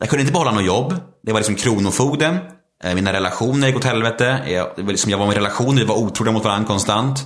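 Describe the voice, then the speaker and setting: Audible room echo surrounds a man speaking very fast in a fairly low voice. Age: 30s. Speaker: former reality TV participant, speaker and podcaster. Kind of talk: interview about personal recovery story. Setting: at home in his kitchen.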